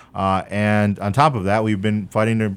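A man with a Chicago accent. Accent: Chicago American. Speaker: political candidate. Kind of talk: radio interview.

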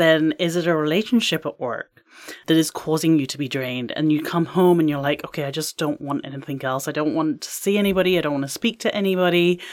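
A woman's fairly low voice in an English accent, very fast and with hardly any pauses. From England. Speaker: life and career coach. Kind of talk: casual interview.

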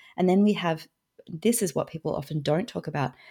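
The recording is very clean, with a silent background. A woman speaks in a dark, mellow tone with ordinary pitch variation. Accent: Australian. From Australia. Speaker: author and food systems educator. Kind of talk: interview conversation.

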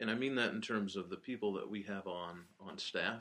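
A man with a Southern US accent, at a moderate pace. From Alabama, Birmingham. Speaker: general manager. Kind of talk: interview.

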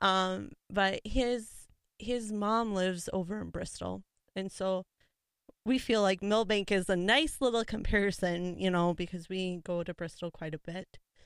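A woman with an Upper Midwest accent speaks at a fairly slow pace and medium pitch, with ordinary pitch variation. The recording is very clean, with a silent background and a dry, close sound with no echo. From Minnesota, Litchfield. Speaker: 4-H advisor. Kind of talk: casual interview. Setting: studio.

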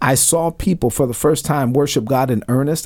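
A fairly quick pace in a New York accent. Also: man. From Brooklyn, New York. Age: 40s. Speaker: retired army officer and ministry founder. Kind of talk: radio interview.

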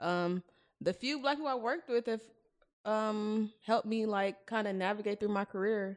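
The woman has an unremarkable speaking voice with ordinary pitch variation. She talks at a moderate pace against a quiet background. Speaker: podcast host. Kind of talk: casual chat.

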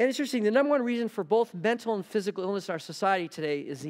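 Speaking at a very fast pace with lively intonation, a man talks over a quiet background. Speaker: visiting pastor. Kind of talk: sermon. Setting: church.

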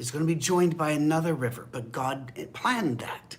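Amid audible room echo, a man with a fairly high pitch speaks at a moderate pace, somewhat breathy. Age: 60s. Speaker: pastor. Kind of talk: bible study. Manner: casual conversational.

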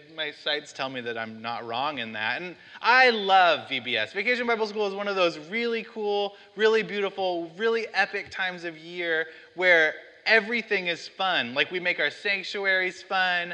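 A man projects a raised, high-pitched voice with a bright, sharp tone, very wide pitch swings and a moderate pace. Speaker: pastor. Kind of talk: sermon. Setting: church. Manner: loud, shouts at times.

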